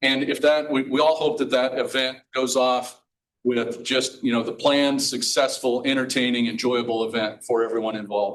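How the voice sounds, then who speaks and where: Here a man speaks at a medium pitch. His intonation is fairly even. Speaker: emergency management director. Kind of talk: presentation. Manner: fast.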